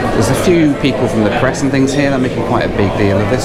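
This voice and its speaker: Over music in the background, the speaker talks at a very fast pace with ordinary pitch variation. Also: man. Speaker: travel vlogger. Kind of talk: casual vlog chat. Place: station. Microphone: phone near.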